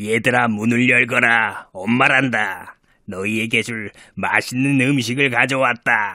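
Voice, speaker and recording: A man puts on a gruff character voice at a medium pitch. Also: fairly slow pace. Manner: deceptive, feigning a gentle tone.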